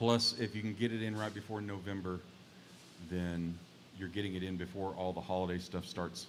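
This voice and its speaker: A man with a Texas accent speaks at a fairly quick pace. His voice is very deep and low, with flat, monotone intonation. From Texas (Mesquite, near Dallas). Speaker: singer-songwriter. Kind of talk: casual chat.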